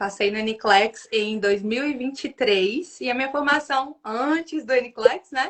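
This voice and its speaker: Lively intonation runs through this woman's speech in a Minas Gerais accent. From northern Minas Gerais, Brazil. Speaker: nurse and exam tutor. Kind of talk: casual livestream interview. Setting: online livestream.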